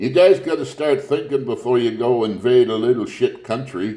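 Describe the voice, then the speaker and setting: The voice moves at a fairly slow pace with a dark, mellow tone. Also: man. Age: 70s. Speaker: video blogger. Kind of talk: political rant. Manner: animated.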